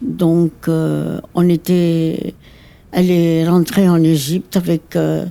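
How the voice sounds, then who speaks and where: A woman's fairly low, dark, mellow voice in a very clean recording with a silent background. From Egypt. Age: 80s+. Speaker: interviewee, elderly woman sharing life story. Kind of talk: personal life story interview. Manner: halting, many hesitations.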